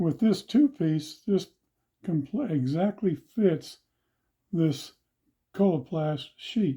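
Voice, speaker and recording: A man's high-pitched voice with a dark, mellow tone and lively intonation, very slow with long, frequent pauses, in a very clean recording with a silent background. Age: 70s. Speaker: ostomy patient demonstrating supplies. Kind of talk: tutorial. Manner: halting.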